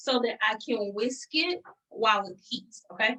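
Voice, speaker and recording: The voice is raised and projected, with an American accent. Its intonation is lively. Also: woman. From US South, Atlanta, Georgia. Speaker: pastry chef. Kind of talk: cooking tutorial. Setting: video call.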